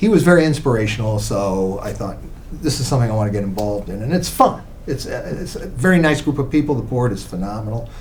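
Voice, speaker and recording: A man with a medium-pitched voice talks at a very fast clip, his intonation lively, with audible echo from the room. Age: 70s. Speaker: lawyer and charity board member. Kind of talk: casual interview.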